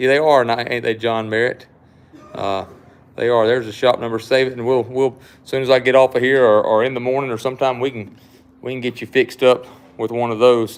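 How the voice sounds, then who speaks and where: Over noticeable background noise, a man with a strong Southern US accent talks fairly quickly at a medium pitch. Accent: thick Southern US. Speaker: knife shop owner and livestream host. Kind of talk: casual live-stream chat.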